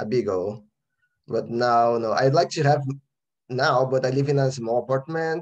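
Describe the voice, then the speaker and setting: Speaking at a moderate pace with a Brazilian accent, a man uses a medium pitch, ordinary pitch variation and long, frequent pauses. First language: Portuguese. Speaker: composer. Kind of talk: interview. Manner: halting.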